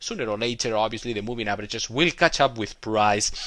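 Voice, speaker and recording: With a non-native accent, a man speaks in a bright, sharp tone and lively intonation on a very clean recording with a silent background. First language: not English. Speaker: trading educator. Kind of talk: tutorial. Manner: hesitant, many filler words.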